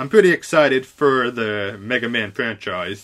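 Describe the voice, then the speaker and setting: On a very clean recording with a silent background, a man's bright, sharp voice swings very widely in pitch. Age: 20s. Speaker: podcast host. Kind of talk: casual chat, talk radio style. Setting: recorded live, unedited. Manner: informal, filler words, self-correcting.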